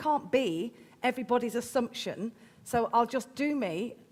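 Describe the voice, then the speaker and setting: A woman with a Midlands accent speaks in a raised, projected voice. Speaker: event host. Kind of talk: casual interview.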